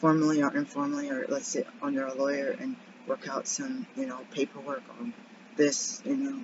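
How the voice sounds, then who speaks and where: A woman speaks quietly at a very deep, low pitch, with very wide pitch swings. Her pace is moderate, and background noise is noticeable. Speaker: birth assistant and vlogger. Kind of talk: casual vlog check-in.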